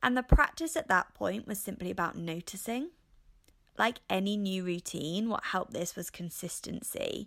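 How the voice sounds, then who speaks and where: A woman speaks with an English accent and lively intonation. The recording is very clean, with a silent background. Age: 30s. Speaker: podcast host. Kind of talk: casual monologue.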